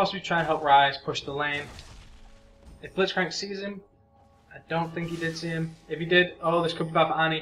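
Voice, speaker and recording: Music plays in the background as a man talks at a fairly quick pace with long, frequent pauses. His voice is high in pitch, with a monotone, flat intonation. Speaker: game shoutcaster. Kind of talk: esports-style game commentary. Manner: casual, conversational, narrating live play.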